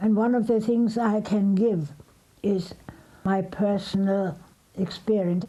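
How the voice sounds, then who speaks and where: This woman's intonation is fairly even. She talks very slowly. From Germany, Berlin. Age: 80s+. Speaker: Holocaust survivor. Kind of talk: testimony.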